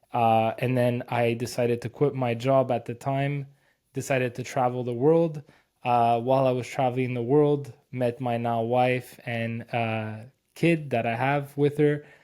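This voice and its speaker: A man talks fairly slowly at a medium pitch, his tone dark and mellow. His intonation stays monotone and flat on a very clean recording with a silent background. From Quebec, Canada. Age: 30s. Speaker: SEO agency owner. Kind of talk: podcast interview.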